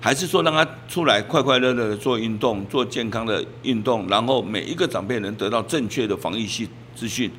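Noticeable background noise sits under a man speaking fairly quickly at a medium pitch with ordinary pitch variation. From Taiwan, Taipei Wanhua. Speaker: neighborhood chief. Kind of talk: interview. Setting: on location in community.

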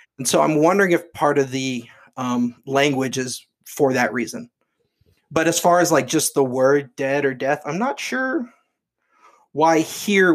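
A man with an unremarkable speaking voice, medium pitch and ordinary pitch variation, at a fairly slow pace in a very clean recording with a silent background. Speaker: co-host. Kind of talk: casual chat.

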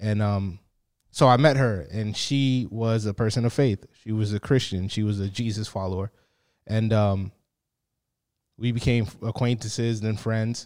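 A man with a plain, everyday voice and an American accent speaks at a moderate pace and fairly low pitch with fairly even intonation, in a very clean recording with a silent background. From Boston, Massachusetts. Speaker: pastor. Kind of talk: casual interview.

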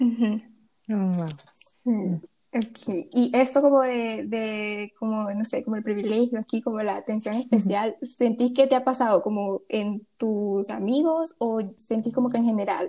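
A woman's ordinary speaking voice, fairly high in pitch and fairly even in intonation. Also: fairly slow pace. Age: young. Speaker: podcast co-host. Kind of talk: casual chat.

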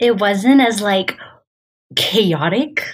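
A woman speaks at a very slow pace. She has an American accent and ordinary pitch variation. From United States, Syrian father. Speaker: poet. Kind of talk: casual interview.

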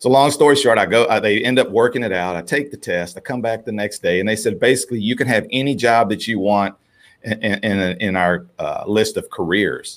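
Someone talks in an ordinary speaking voice at a fairly quick pace with ordinary pitch variation, in a very clean recording with a silent background. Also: man, medium pitch for a man. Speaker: marketing firm owner and author. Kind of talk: casual interview.

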